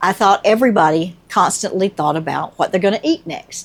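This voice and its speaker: A woman with a Southern US accent, moderate pace and ordinary pitch variation. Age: 60s. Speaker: nurse. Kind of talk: casual talk to camera.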